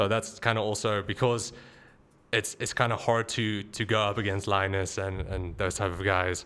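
In a very clean recording with a silent background, a man with a fairly low pitch and a bright, sharp tone speaks at a moderate pace in a monotone, flat intonation. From South Africa. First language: Afrikaans. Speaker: tech YouTuber. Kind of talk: casual interview chat.

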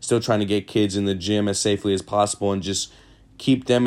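A man with an American accent talks at a very fast pace in a fairly low pitch, his intonation flat and monotone. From Sacramento, California, US. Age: 20s. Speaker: podcast host and high school basketball coach. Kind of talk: casual monologue.

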